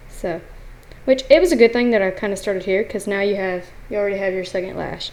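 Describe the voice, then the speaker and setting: A mumbling woman, medium in pitch, with fairly even intonation. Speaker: art tutorial channel host. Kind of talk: tutorial. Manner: casual, mumbling.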